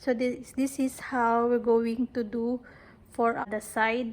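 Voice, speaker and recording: A woman talks at a very slow pace. Her voice is fairly high. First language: not English. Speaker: crochet tutorial creator. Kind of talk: tutorial. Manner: casual, hesitant with fillers.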